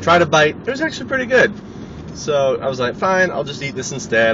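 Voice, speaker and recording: A man talks over noticeable background noise. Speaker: vlogger. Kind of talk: casual vlog monologue. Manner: loud.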